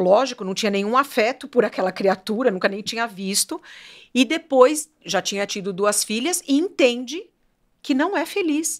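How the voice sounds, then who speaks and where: Her pitch swings very widely as she talks. The woman's voice is high. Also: moderate pace, very clean recording, silent background. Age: 60s. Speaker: fashion business owner. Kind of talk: podcast interview.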